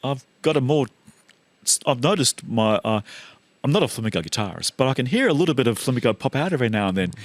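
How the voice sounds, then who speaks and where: Very fast, lively speech with an Australian accent, recorded dry and close with no echo. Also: man, medium pitch for a man. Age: 60s. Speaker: guitarist. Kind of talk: casual chat.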